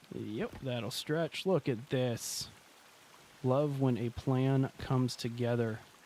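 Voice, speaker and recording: Here a man talks with a deadpan tone at medium pitch. He goes at a very slow pace. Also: fairly even intonation. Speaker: gaming streamer. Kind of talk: live gameplay commentary.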